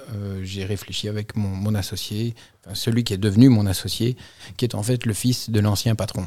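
Over a very clean recording with a silent background, a man speaks at a moderate pace. His voice is fairly low and dark and mellow in tone, with monotone, flat intonation. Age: 40s. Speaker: insurance broker and business owner. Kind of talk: interview.

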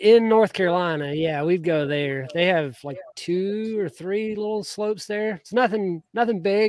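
A man with an American accent, high-pitched, with ordinary pitch variation and hardly any pauses, over a quiet background. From Georgia, US South. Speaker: podcast host. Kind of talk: casual chat.

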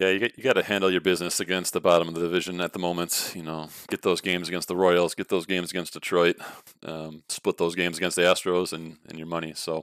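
A man's very deep, low voice in a very fast, monotone delivery with an American accent, big swings in loudness, and a dry, close sound with no echo. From US Midwest, Chicago suburbs. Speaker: former college pitcher. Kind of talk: casual chat. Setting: remote call. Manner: hesitant, many fillers.

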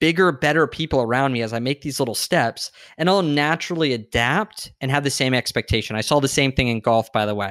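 A man with a West Coast US accent speaks fairly quickly with lively intonation. The recording is very clean, with a silent background. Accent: General American (West Coast). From San Diego, California, US. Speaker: fitness coach and entrepreneur. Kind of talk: casual interview.

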